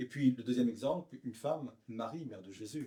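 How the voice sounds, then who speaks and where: A man with a medium-pitched voice speaks in a dark, mellow tone that is somewhat breathy, his pitch rising and falling in an ordinary way. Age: 60s. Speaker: pastor. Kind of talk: interview.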